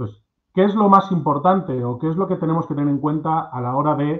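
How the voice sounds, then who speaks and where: Against a quiet background, an unremarkable speaking voice holds a moderate pace, its pitch varying in an ordinary way. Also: man. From Spain, Cuenca (La Mancha). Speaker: agricultural machinery marketing manager. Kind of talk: webinar presentation. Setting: video call. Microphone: video call.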